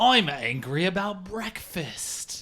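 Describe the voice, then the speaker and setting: This is a put-on character voice with a British accent. The pitch stays in the middle range. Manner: angry, indignant.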